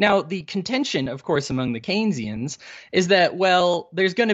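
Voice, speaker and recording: An unremarkable speaking voice with lively intonation and a fairly quick pace. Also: man. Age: 30s. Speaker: libertarian podcaster. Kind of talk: casual interview.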